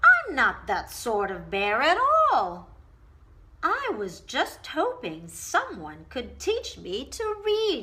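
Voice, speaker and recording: A woman uses a put-on character voice pitched high. She talks at a very slow pace. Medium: read story. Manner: mild, polite.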